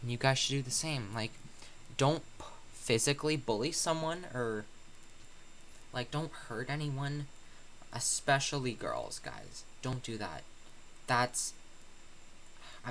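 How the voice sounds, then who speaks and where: Soft-spoken, the man talks at a fairly slow pace with long, frequent pauses. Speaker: YouTuber. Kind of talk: casual vlog monologue. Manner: quiet, soft-spoken; halting, many fillers.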